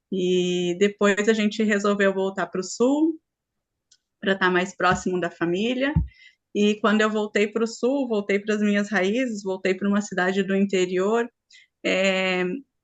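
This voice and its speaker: A woman with a strong gaúcho accent, fairly slow pace and fairly even intonation. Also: medium pitch for a woman. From Rio Grande do Sul, Brazil. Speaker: spiritual group facilitator. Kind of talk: online group talk.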